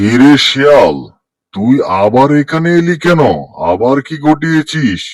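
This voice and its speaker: A man does a cartoonish character voice at a fairly high pitch and a fairly slow pace. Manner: authoritative, commanding.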